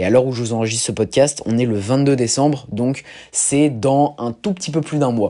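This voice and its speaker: A man's voice at medium pitch, with a dark, mellow tone. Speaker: podcast host, strength athlete. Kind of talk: casual solo podcast monologue. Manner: animated.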